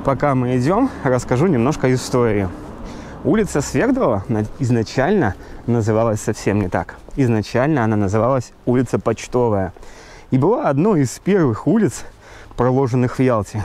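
With lively intonation and long, frequent pauses, a man talks at a moderate pace, the sound dry with no echo over light background noise. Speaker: local guide, vlogger. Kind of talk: walking tour commentary. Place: street. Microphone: phone near.

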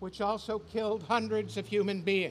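Over light background noise, a man with a high pitch talks at a moderate pace and fairly even intonation. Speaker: speaker. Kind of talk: prepared protest speech. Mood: earnest, indignant. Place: street. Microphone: podium.

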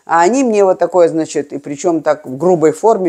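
Against a quiet background, a woman talks with a dark, mellow tone, a fairly low pitch and lively intonation. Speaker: video blogger. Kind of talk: reminiscing monologue. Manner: halting. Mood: animated, emotional storytelling. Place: home room. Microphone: lapel.

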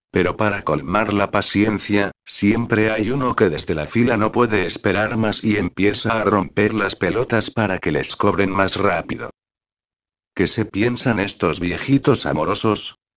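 At a fairly slow pace, a man speaks with a fairly low pitch and ordinary pitch variation against a quiet background. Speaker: supermarket cashier. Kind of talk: angry rant, comic venting. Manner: exasperated, sarcastic, swearing.

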